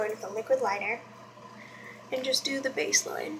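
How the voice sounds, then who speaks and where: Noticeable background noise surrounds a woman with a high pitch. She talks at a fairly quick pace with ordinary pitch variation. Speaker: beauty vlogger. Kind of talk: makeup tutorial. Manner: casual, chatty; quiet while doing liner.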